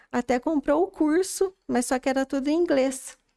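At a fairly slow pace, a woman speaks on a very clean recording with a silent background and a dry, close sound with no echo. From rural São Paulo state, near Minas Gerais border. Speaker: makeup artist. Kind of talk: casual interview.

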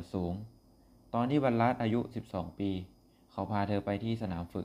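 The man speaks at a fairly low pitch with ordinary pitch variation. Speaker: podcast host. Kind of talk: storytelling narration. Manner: halting.

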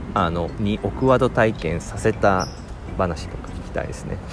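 A man with a very deep, low voice speaks at a fairly slow pace, his pitch swinging very widely and his loudness rising and falling sharply over background music. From Japan, Nagasaki. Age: 40s. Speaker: podcaster. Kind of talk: casual monologue. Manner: many fillers.

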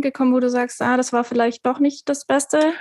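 Here a woman speaks with a high pitch. Her intonation stays fairly even. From southwest Germany, Stuttgart. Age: 30s. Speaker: podcast co-host, app developer. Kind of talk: casual chat.

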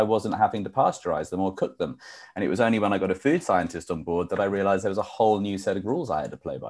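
A man at a very fast pace, fairly low in pitch, with a slight British accent, on a very clean recording with a silent background. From UK. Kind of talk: interview. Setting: live show.

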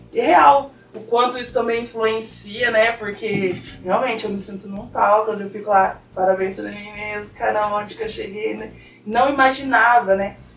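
A woman's fairly high voice at a moderate pace, fairly even intonation and big swings in loudness, with audible room echo and noticeable background noise. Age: 20s. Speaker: physical education graduate and weight-loss influencer. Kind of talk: casual chat.

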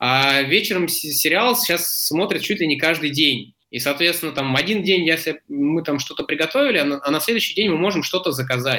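This man's voice sits fairly high for his sex, with ordinary pitch variation. He delivers his words at a fairly quick pace. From Moscow region, Zelenograd. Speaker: entrepreneur. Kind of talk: interview. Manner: hesitant, many fillers.

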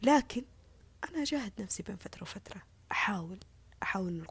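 A somewhat breathy voice belongs to a woman. She speaks at a fairly quick pace. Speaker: social media personality. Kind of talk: casual monologue. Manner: earnest, repetitive.

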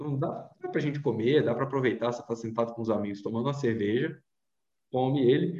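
A somewhat breathy voice with a dark, mellow tone. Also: man. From Brazil, Vitória, Espírito Santo. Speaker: travel blogger and journalist. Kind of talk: casual interview chat.

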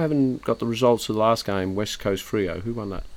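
A man with an Australian accent, medium in pitch, at a moderate pace with ordinary pitch variation. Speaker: podcast host. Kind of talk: casual chat. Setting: outdoor backyard bar.

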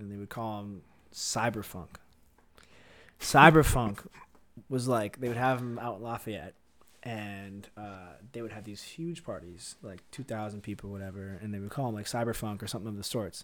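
A plain, everyday voice, a man with an American accent, fairly low pitch, moderate pace, ordinary pitch variation and big swings in loudness. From Syracuse, New York. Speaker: house DJ. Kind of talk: casual chat.

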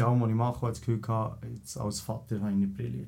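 A man with a Bernese accent talks at a fairly quick pace in a medium-pitched voice. His tone is dark, mellow and somewhat breathy, with ordinary pitch variation. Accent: Bernese Swiss German. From Switzerland, Bern. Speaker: entrepreneur. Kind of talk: casual chat.

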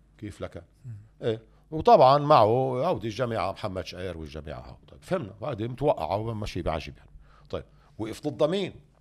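A man speaks with vocal fry, very wide pitch swings and big swings in loudness. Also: medium pitch for a man, moderate pace. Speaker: economist and political figure. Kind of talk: interview.

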